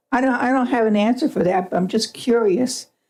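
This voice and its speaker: This woman's voice has a dark, mellow tone with ordinary pitch variation. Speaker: public commenter at school board meeting. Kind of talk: public comment. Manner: fast.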